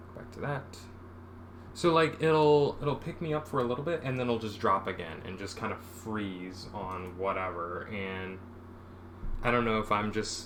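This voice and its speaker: Against audible room echo, a man talks at a moderate pace with lively intonation and a fairly low pitch. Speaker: comic artist streaming work. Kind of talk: casual live-stream talk while drawing. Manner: soft-spoken. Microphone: too quiet for captioner, mic dropping.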